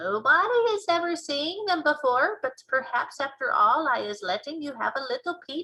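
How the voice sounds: A woman's put-on character voice, high-pitched with a bright, sharp tone, lively intonation and a moderate pace.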